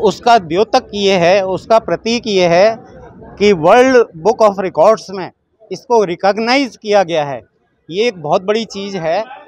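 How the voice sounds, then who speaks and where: A man speaks with a high pitch and ordinary pitch variation. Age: 70s. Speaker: matrimonial event participant. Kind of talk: on-the-spot interview.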